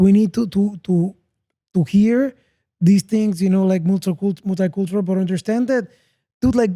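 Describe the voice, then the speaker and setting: Delivered with a Spanish accent at a moderate pace, the speech has long, frequent pauses. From Panama. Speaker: podcast host. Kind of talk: casual interview chat.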